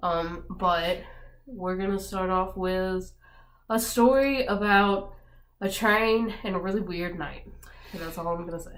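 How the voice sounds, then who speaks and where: Amid audible room echo, a woman of medium pitch speaks with ordinary pitch variation, big swings in loudness, and long, frequent pauses. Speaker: vlogger. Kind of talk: casual chat. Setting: indoors with friends. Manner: hesitant, many fillers.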